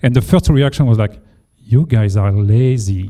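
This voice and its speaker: The voice has a dark, mellow tone. It carries a French accent. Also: man. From France. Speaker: engineering leader. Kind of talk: panel discussion. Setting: meetup with audience.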